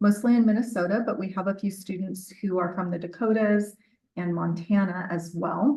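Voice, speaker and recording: This woman's voice sits at a medium pitch. Intonation remains fairly even throughout. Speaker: dental public health professor. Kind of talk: conference presentation. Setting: conference room with microphone. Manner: loud.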